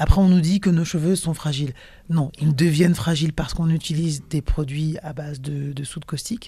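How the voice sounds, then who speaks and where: This woman has a very deep, low pitch and a dark, mellow tone that is somewhat breathy. She speaks in a Parisian accent, with big swings in loudness. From Cameroon (Sawa, Douala) heritage, raised partly in Paris. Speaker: singer. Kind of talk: interview. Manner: hesitant, many fillers and repetitions.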